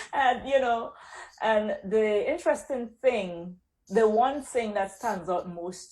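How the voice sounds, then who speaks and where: In a Caribbean accent, the speaker goes at a very slow pace with lively intonation, in a very clean recording with a silent background. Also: woman. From Caribbean, Saint Vincent. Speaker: accountant, business owner. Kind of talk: interview.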